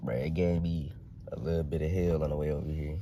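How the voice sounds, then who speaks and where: A man speaks in a very deep, low voice with a dark, mellow tone and flat, monotone intonation, and the room echo is audible. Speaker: car vlogger. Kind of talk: casual vlog while driving. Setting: in a car.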